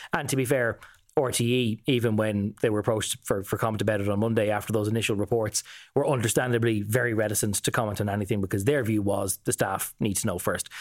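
A man with an Irish accent speaks at a very fast pace and a fairly low pitch. His loudness stays very even on a very clean recording with a silent background. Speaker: political correspondent. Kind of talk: casual news discussion.

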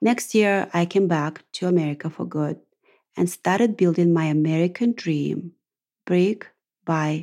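A woman speaks fairly slowly in a Russian accent with a fairly low pitch. Her tone is dark and mellow, with ordinary pitch variation. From Russia, Ural region. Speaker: podcast host. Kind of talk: monologue podcast.

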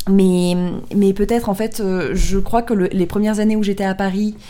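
A dark, mellow tone carries the words. The intonation remains fairly even. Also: woman. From southern France, Draguignan area. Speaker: podcast host. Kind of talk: casual chat.

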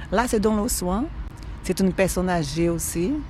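A woman speaks at a fairly slow pace with a Brazilian accent over noticeable background noise. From northeastern Brazil. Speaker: cleaner. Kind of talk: testimony. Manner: warm and cheerful.

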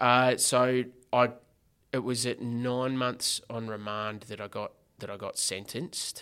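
A man speaks slowly-ish in a medium pitch, his tone bright and sharp but his intonation monotone and flat, with big swings in loudness. The recording is very clean, with a silent background. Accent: Australian. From Australia, Geelong (Corio), Victoria. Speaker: former prisoner turned social entrepreneur. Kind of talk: casual interview chat.

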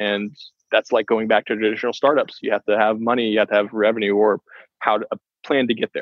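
A man's medium-pitched voice at a very fast pace, with monotone, flat intonation. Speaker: venture capital investor. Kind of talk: interview. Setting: phone call from the back of a taxi.

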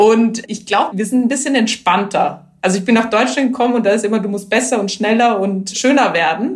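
Somewhat breathy speech at a fairly quick pace, with hardly any pauses and ordinary pitch variation. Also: woman, fairly high pitch for a woman. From Austria, Vienna region. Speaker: entrepreneur, HR manager. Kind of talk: interview.

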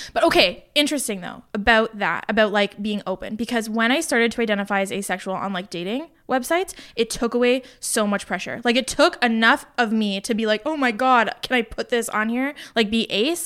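A woman with a normal speaking voice talks at a fairly quick pace, hardly any pauses, a fairly high pitch, and ordinary pitch variation. The recording is very clean, with a silent background. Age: 20s. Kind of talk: casual chat.

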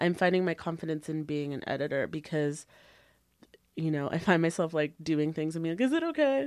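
A woman with a Canadian accent speaks in a normal speaking voice at a fairly quick pace and fairly low pitch, with ordinary pitch variation. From Canada, Brampton, Ontario. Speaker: magazine editor. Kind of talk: casual chat.

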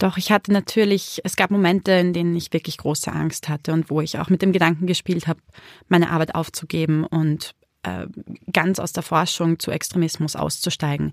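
A woman speaks fairly quickly in a fairly low pitch. Her intonation is monotone and flat. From Austria, Vienna. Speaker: extremism researcher and author. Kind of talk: interview.

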